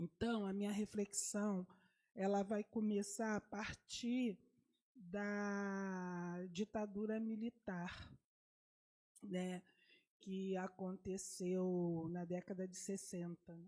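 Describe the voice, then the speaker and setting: Very slowly and with long, frequent pauses, a woman speaks at a medium pitch in a dark, mellow tone and monotone, flat intonation. The sound is dry and close, with no echo. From Rio de Janeiro, Brazil. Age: 70s. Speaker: community activist speaker. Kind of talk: panel talk. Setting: university panel event. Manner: halting.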